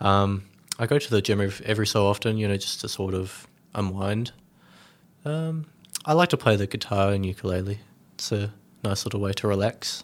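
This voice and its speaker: A man's fairly low voice with an Australian accent, at a moderate pace with long, frequent pauses and ordinary pitch variation, on a very clean recording with a silent background. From Melbourne, Australia, then Tasmania. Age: 20s. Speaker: young family carer. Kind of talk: interview. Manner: hesitant, many fillers.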